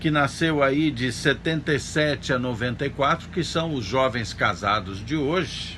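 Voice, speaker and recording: Fairly high for a man, this voice moves at a fairly slow pace with lively intonation, with audible room echo behind it. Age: 60s. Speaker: pastor. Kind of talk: sermon. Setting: church service streamed online.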